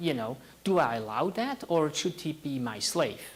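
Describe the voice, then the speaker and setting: A man with a Swiss accent, very wide pitch swings, and a moderate pace. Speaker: tech startup founder. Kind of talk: talk to an audience.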